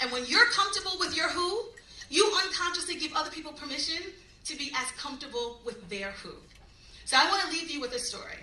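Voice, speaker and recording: Projecting a raised, animated voice in a Long Island accent, a woman talks very fast at a high pitch, with very wide pitch swings, big swings in loudness and audible room echo. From New York, Long Island. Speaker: motivational speaker. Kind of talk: keynote speech. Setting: luncheon event with audience.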